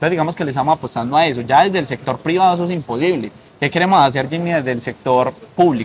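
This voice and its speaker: A man's somewhat breathy voice at a very fast pace, with ordinary pitch variation and light background noise. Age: 20s. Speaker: political candidate; candidate. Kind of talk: interview; interview answer. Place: garden. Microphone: lapel.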